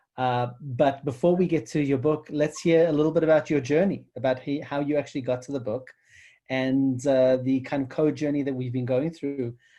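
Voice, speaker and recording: Moderate-paced speech with a South African accent. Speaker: co-founder and interviewer. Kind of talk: interview.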